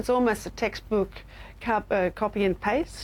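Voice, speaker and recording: In an Australian accent, a woman speaks at a medium pitch. Her intonation is fairly even. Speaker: university lecturer in public health. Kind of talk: interview. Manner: halting, with fillers.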